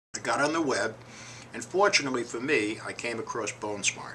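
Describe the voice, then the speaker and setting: Noticeable background noise sits behind this voice. A man talks at a moderate pace. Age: 60s. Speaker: hip replacement patient. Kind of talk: personal testimony.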